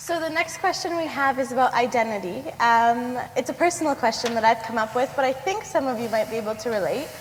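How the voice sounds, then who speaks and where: Over noticeable background noise, a woman with a Canadian accent talks very fast at a high pitch, with lively intonation and hardly any pauses. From Canada. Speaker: student moderator. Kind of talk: moderated Q&A.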